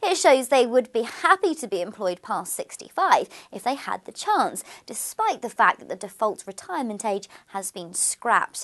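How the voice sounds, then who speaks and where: A woman with a high pitch talks at a moderate pace, her pitch swinging very widely and her loudness rising and falling sharply, all over a quiet background. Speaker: news presenter. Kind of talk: news reading. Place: studio.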